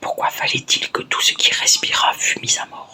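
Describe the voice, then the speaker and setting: Noticeable background noise is present. A woman is whispering very slowly. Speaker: ASMR creator. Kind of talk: ASMR book reading. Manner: whispered.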